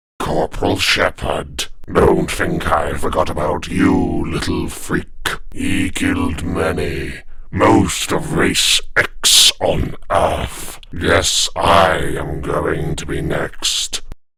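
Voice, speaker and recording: Using a put-on character voice, a man speaks at a very slow pace over light background noise. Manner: menacing.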